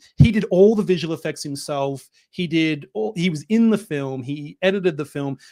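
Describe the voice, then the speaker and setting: A man's fairly high voice with a dark, mellow tone sits on a very clean recording with a silent background. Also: ordinary pitch variation, moderate pace. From Australia, Melbourne. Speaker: film director. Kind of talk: interview. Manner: hesitant, many fillers.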